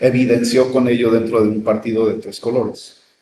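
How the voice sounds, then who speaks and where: A man speaks at a medium pitch and moderate pace in monotone, flat intonation. Noticeable background noise runs behind him. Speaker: radio host. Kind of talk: casual chat.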